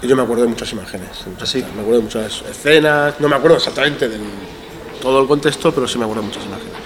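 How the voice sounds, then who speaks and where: Talking at a very fast pace, a man keeps a medium pitch with ordinary pitch variation. Audible room echo surrounds his voice. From Iran, raised in Spain from age 5. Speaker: teacher and NGO educator. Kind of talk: casual interview. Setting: school assembly hall. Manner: halting.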